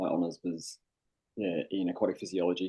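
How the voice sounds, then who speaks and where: A man's very deep, low voice with a dark, mellow tone, monotone, flat intonation, a fairly quick pace and an Australian accent. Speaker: sustainability specialist and hypnotherapist. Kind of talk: interview podcast.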